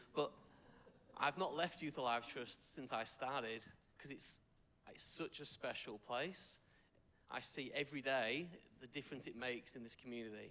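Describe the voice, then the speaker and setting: A man with an English accent talks at a fairly quick pace with fairly even intonation. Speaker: youth worker. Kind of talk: public speech. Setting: supporters' lunch audience.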